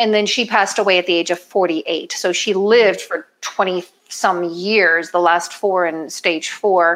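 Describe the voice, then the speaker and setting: A woman speaks in an ordinary speaking voice at medium pitch and a fairly slow pace. Her loudness stays very even, and her intonation is fairly even. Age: 50s. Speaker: chef and weight loss coach. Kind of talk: cooking demonstration.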